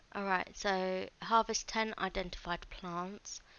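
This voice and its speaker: A woman speaks at a very slow pace. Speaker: gaming youtuber. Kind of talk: let's play commentary. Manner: casual, hesitant.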